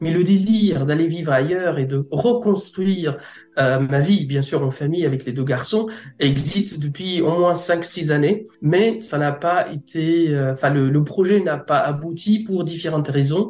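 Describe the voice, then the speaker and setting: This speaker talks fairly slowly. The pitch rises and falls in an ordinary way. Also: man, high pitch for a man. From Egypt. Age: 30s. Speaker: translator-interpreter. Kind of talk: interview testimony. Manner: halting.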